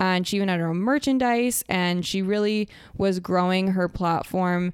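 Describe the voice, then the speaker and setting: A woman with a normal speaking voice talks at a moderate pace and medium pitch, with ordinary pitch variation, in a very clean recording over a silent background. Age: 20s. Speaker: podcast host, former reality show contestant. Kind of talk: casual interview chat; podcast intro and outro monologue. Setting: office.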